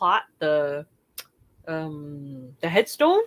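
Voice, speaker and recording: A woman speaks in a dry, close recording with no echo. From Wisconsin, US Midwest. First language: another language besides English. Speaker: online seller. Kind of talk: live sale recap. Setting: livestream video.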